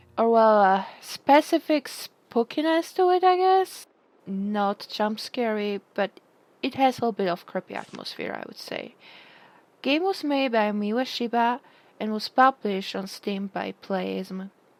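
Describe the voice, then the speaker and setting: Speaking at a fairly slow pace, a woman with a fairly high pitch uses lively intonation and big swings in loudness, recorded with a dry, close sound and no echo. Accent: non-native. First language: not English. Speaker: video game reviewer. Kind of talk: video review. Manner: hesitant, many fillers.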